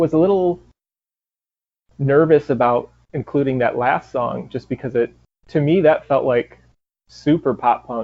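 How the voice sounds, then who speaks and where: A man with a Michigan accent speaks fairly slowly in a fairly high voice, with ordinary pitch variation and long, frequent pauses. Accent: Canadian-sounding Michigan. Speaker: punk rock band member. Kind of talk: interview. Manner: halting, many fillers.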